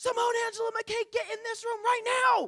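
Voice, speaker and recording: In a put-on character voice pitched extremely high, the speaker keeps a moderate pace and flat, monotone intonation. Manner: authoritarian, bossy, commanding.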